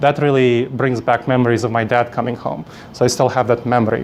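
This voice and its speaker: Noticeable background noise surrounds a man who talks at a fairly quick pace and medium pitch with a Moldovan accent. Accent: Eastern European (Moldovan). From Moldova, then New York City from age ten. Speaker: conference speaker, coach trainer. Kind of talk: conference presentation. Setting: stage with audience.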